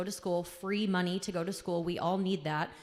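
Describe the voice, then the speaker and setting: Her intonation monotone and flat, a woman speaks at a moderate pace and medium pitch. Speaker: school counselor. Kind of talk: school assembly announcements. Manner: loud.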